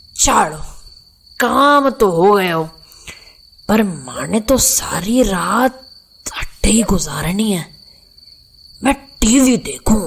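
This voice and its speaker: Using a put-on character voice, a woman speaks at a fairly high pitch and a very slow pace, with lively intonation, very even loudness and long, frequent pauses. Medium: audio drama. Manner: talkative, grumbling.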